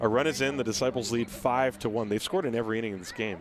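Over noticeable background noise, a man talks at a fairly quick pace in an animated tone. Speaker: baseball play-by-play announcer. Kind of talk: live sports commentary, play-by-play. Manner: fast-paced, animated, rising excitement on big plays; clipped, rapid-fire play calling.

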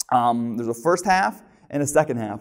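The background is quiet. A man speaks at a moderate pace. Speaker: preacher. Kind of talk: sermon. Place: church. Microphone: lapel.

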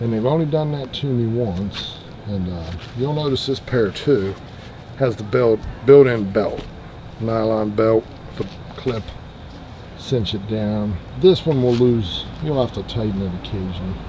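This man speaks at a fairly slow pace. Noticeable background noise can be heard behind him. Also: ordinary pitch variation. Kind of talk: casual tutorial. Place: open country. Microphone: camera far.

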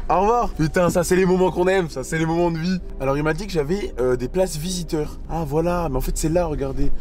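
A high-pitched man speaks at a fairly quick pace with ordinary pitch variation and hardly any pauses, the sound dry with no echo and only light background noise. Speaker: vlogger. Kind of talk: casual vlog chat. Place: car. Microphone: phone near.

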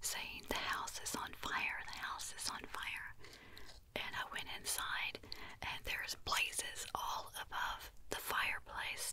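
A soft-spoken woman whispering at a very slow pace over noticeable background noise. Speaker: ASMR content creator. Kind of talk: soft-spoken storytelling. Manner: soft close whisper telling a story. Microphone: studio mic.

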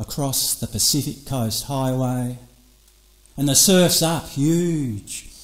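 Very slow, fairly high-pitched speech from a man with an Australian accent. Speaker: poet. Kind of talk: performance poetry over electronic music. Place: studio. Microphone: studio mic.

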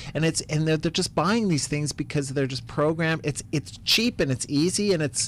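A man talks with hardly any pauses and ordinary pitch variation. The sound is dry with no echo, over light background noise. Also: fairly high pitch for a man, moderate pace. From US Midwest. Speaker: comedian. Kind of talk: interview. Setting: studio. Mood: opinionated, mildly irritated. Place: studio. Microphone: studio mic.

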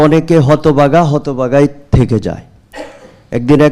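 A man with a fairly high pitch uses lively intonation, a dark, mellow tone and vocal fry. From Bangladesh, Chandpur. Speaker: Islamic scholar and natural farming seller. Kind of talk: testimony.

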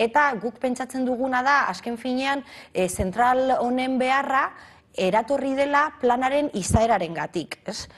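A woman's high-pitched voice. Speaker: city councillor. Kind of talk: TV interview.

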